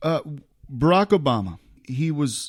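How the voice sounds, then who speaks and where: In an American accent, a man talks on a very clean recording against a silent background. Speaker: podcast host. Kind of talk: casual chat. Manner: halting.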